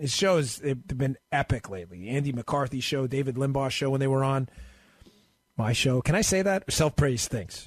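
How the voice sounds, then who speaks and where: The voice is somewhat breathy, with an American accent. It moves at a fairly quick pace against a quiet background. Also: man. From US Northeast, New York and Maryland. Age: 40s. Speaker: guest radio host. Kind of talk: talk radio. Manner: fast.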